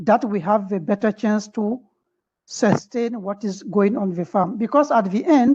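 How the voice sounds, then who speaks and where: A woman's fairly high, somewhat breathy voice with a dark, mellow tone and a French accent, at a moderate pace with ordinary pitch variation, over a quiet background. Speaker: webinar participant asking a question. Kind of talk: question in online webinar discussion. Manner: halting.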